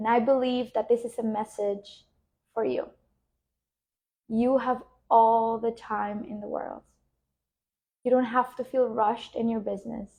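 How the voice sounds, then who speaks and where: A woman speaks at a fairly slow pace with long, frequent pauses. Her pitch is fairly high, her tone dark and mellow, and her intonation monotone and flat. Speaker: spiritual business coach. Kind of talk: guided meditation; live stream talk. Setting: live stream. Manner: soft-spoken. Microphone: new wireless microphone.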